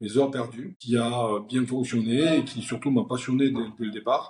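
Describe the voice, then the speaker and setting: A man at medium pitch and a fairly slow pace, with fairly even intonation. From southern France (Perpignan). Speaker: company founder and CEO. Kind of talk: interview. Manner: hesitant, many fillers.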